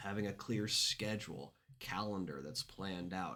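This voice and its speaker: Vocal fry runs through a man's fairly low-pitched voice as he speaks at a moderate pace. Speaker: business coach. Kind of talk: casual vlog talk to camera.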